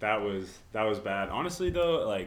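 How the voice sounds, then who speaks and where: A man, in a normal speaking voice, talks at a moderate pace. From Texas (Corpus Christi). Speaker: college tennis and pickleball player. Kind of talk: casual chat.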